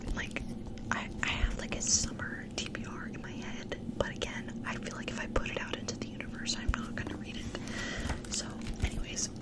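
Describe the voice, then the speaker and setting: Against clearly audible background noise, a woman whispers at a moderate tempo. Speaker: ASMR booktuber. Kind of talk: ASMR book haul, casual rambling to camera. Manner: whispered, soft.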